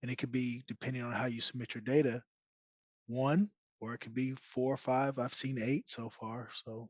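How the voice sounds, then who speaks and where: A soft-spoken man at medium pitch, moderate pace and fairly even intonation. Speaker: data support specialist on Q&A panel. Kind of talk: live Q&A webinar. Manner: quiet.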